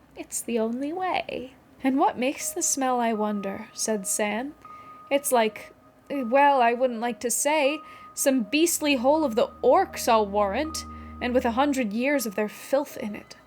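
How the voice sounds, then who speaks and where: Music plays behind a woman with a high-pitched voice. She talks at a fairly slow pace with lively intonation. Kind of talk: audiobook-style reading of a novel passage.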